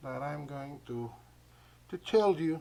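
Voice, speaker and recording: Speaking with a non-native accent, a man has a dark, mellow tone and normal rise and fall in pitch. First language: not English. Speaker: gaming YouTuber. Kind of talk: casual channel update. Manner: halting, many hesitations.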